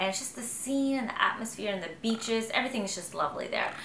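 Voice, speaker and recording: A woman talks very fast, with lively intonation and a fairly high pitch. The room echo is audible and the background noise is noticeable. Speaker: fashion vlogger. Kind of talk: product review.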